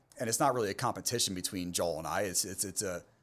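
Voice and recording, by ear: A man with an American accent speaks at a fast pace in a low voice with a fairly bright tone and ordinary pitch variation, on a very clean recording with a silent background.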